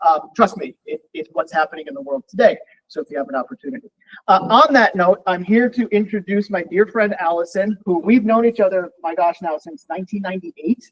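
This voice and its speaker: A man with an American accent speaks at a high pitch and a fairly quick pace, his intonation lively. His loudness swings widely, and the sound is dry and close with no echo. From US West Coast. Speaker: university lecturer, army veteran. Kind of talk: lecture.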